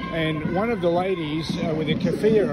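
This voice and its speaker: With music in the background and audible room echo, a man with an Australian accent speaks at a fairly quick pace with ordinary pitch variation. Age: 70s. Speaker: local resident filming protests. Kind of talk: street conversation; vlog commentary. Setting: outdoors. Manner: halting.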